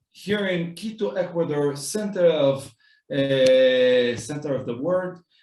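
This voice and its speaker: A man talks with an Israeli accent. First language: Hebrew. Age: 30s. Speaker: rabbi. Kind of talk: walking tour talk. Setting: walking tour of community center.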